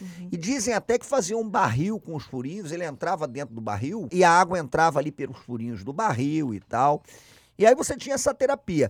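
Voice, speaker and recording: In a Carioca accent, the speaker moves at a fairly quick pace with very wide pitch swings and big swings in loudness, the sound dry and close with no echo on a very clean recording with a silent background. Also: man, high pitch for a man. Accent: carioca Brazilian Portuguese. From Rio de Janeiro, Brazil. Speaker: podcast co-host, historian. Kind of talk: casual chat.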